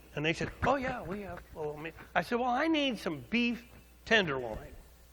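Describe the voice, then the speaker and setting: A man talks at a fairly quick pace in an animated, bright, sharp tone, his pitch swinging very widely, with audible echo in the room. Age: 60s. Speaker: pastor. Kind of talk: sermon. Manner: animated storytelling.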